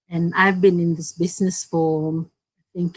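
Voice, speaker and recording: A woman speaks in a Fijian accent. Her pace is fairly slow. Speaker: digital business owner, co-host. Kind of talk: live-stream business chat. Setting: online live stream.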